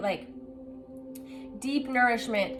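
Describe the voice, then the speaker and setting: Music plays in the background as a woman with a high pitch speaks amid audible room echo. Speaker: tarot reader. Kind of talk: tarot reading to camera. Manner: loud; animated.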